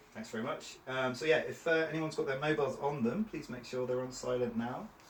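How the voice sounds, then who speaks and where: Amid noticeable background noise and audible room echo, a man with a fairly high pitch and ordinary pitch variation talks at a very fast pace. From Cornwall, England. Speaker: trainer. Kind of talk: training session.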